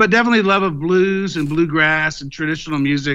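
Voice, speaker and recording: Talking at a fairly quick pace, a man with a Texan accent uses ordinary pitch variation. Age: 50s. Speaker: blues guitarist and singer-songwriter. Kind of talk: interview.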